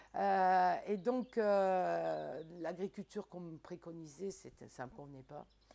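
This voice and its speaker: A woman speaks at a fairly slow pace. Her tone is dark and mellow, her pitch fairly low. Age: 60s. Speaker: market gardener. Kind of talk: casual chat.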